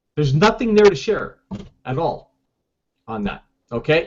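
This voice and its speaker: This man speaks loudly. His pitch is high. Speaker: online marketing coach. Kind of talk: tutorial.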